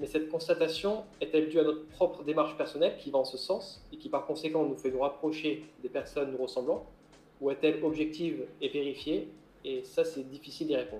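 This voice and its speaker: An ordinary speaking voice from a man, fairly high in pitch, fairly quick, with ordinary pitch variation. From Corsica. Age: 30s. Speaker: maritime gendarme and adventurer. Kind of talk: interview.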